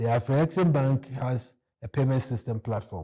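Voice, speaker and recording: Recorded very cleanly with a silent background, a man with a dark, mellow, somewhat breathy tone speaks at a moderate pace with ordinary pitch variation. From Ghana. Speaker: economist. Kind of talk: interview.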